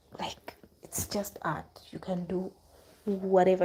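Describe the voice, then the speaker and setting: A woman speaks fairly slowly at a medium pitch, her tone dark and mellow. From Uganda. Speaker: abstract artist. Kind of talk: casual livestream chat while painting. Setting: live stream. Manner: hesitant, repeats words.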